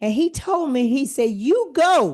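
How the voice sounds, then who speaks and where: A woman's voice with very wide pitch swings against a quiet background. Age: 70s. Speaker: church speaker. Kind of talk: sermon.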